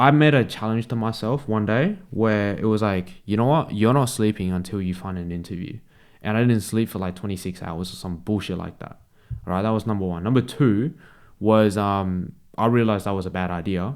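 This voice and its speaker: With an Australian accent, a man speaks at a fairly quick pace in a fairly low pitch with ordinary pitch variation, on a very clean recording with a silent background. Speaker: sales closer and vlogger. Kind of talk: casual vlog talk. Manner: casual, slangy.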